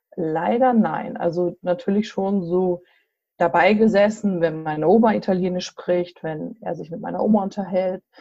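Music is playing in the background. A woman talks at a medium pitch. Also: ordinary pitch variation, moderate pace. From central Hesse, Germany. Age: 40s. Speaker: association chairwoman. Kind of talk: interview. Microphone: bad connection.

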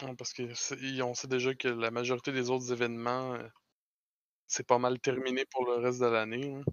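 A man's medium-pitched voice in a Quebec accent, monotone and flat, at a moderate pace. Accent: Québécois French. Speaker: podcast host. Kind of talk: casual chat.

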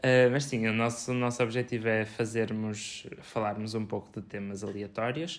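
A man of medium pitch speaks at a moderate pace in a flat monotone. He hardly pauses. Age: 20s. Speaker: podcast co-host, food scientist. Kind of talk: casual chat.

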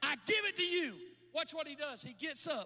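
An animated man projects a raised voice with a bright, sharp tone at an extremely high pitch. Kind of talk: sermon with altar call, preacher in full flow. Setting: church with live audience. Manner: animated, fervent, exhorting the crowd with call-and-response.

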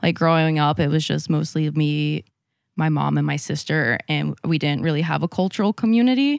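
In a dry, close recording with no echo, a woman with a very deep, low pitch speaks at a moderate pace with lively intonation. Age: 20s. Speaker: podcast guest. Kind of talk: casual chat.

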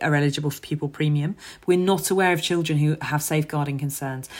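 Monotone, flat intonation in a London accent comes across on a very clean recording with a silent background. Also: woman. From London, Hackney. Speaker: charity founder and former teacher. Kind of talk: podcast interview.

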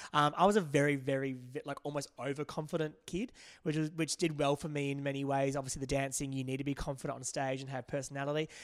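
A man's fairly high voice at a very fast pace, monotone and flat in intonation. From Perth, Western Australia. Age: 30s. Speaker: makeup artist. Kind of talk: casual chat.

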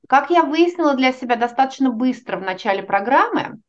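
The voice travels in very wide pitch swings at a moderate pace. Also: woman. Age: 40s. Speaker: organizational psychologist. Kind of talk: interview.

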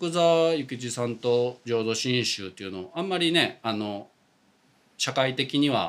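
Fairly slow and lively in intonation, a man speaks in a plain, everyday voice at a medium pitch. The recording is very clean, with a silent background. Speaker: Buddhist priest. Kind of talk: casual chat.

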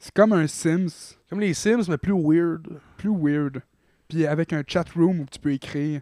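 Speaking at a very slow pace with a Quebec accent, a man with a high pitch and a dark, mellow tone shows big swings in loudness on a very clean recording with a silent background. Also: ordinary pitch variation, dry, close sound with no echo. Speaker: podcast co-host. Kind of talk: casual chat.

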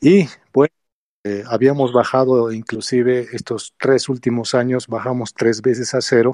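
Slow-ish and fairly even in intonation, a man speaks with a dark, mellow tone at a fairly slow pace in a dry, close sound with no echo. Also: medium pitch for a man. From Bolivia. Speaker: gamer, team leader. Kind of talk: casual chat.

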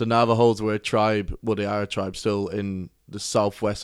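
A man with a Cork accent speaks at a fairly quick pace in a fairly low, monotone, flat voice. The recording is very clean with a silent background. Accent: Cork Irish. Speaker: podcast co-host. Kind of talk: casual chat.

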